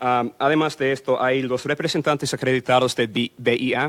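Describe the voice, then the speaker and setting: A man speaks at a medium pitch in a flat monotone, recorded dry and close with no echo. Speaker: immigration lawyer. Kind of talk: public info workshop talk. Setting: consulate workshop with audience and microphone. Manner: fast; hesitant with fillers. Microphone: microphone repositioned, sound better.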